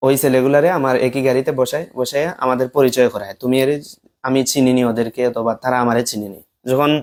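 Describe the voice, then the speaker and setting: A man talks in an ordinary speaking voice. His pitch is medium and his intonation fairly even. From Bangladesh, Moulvibazar district (Sylhet region). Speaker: former madrasa student, alleged victim of false case. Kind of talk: testimony.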